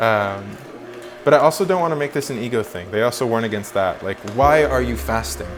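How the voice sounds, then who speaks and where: Music plays behind a man talking at a fairly quick pace and medium pitch. His pitch swings very widely. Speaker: vlogger. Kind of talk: casual chat. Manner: halting.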